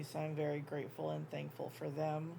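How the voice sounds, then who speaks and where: Amid audible room echo, a woman with a very deep, low pitch and a dark, mellow tone keeps her intonation fairly even. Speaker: crochet YouTuber. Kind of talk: casual chat. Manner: filler-heavy, um.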